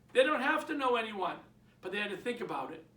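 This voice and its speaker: In a Boston accent, a man with an extremely high pitch speaks in a raised, projected, animated voice with lively intonation, amid audible room echo and noticeable background noise. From Boston, Massachusetts. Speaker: real estate trainer. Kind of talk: training talk. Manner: animated, conversational.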